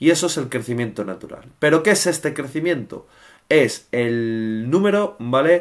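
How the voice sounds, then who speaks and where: This man's voice sits fairly high and swings very widely in pitch. The background is quiet. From Spain. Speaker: secondary school teacher. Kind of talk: lecture. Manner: hesitant, many filler sounds; casual, chatty. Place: home room. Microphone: webcam.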